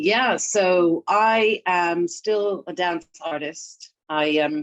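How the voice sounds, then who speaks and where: A woman's very slow speech with a slight British accent. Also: medium pitch for a woman, ordinary pitch variation. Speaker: therapist and dance artist. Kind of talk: interview.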